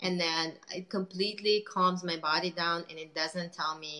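A woman speaks at a fairly low pitch with a bright, sharp tone.

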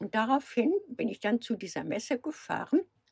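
Speaking at a moderate pace, a woman has a fairly high-pitched voice with vocal fry. Her pitch swings very widely, and the sound is dry and close with no echo. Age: 70s. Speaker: van traveller. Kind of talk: casual interview.

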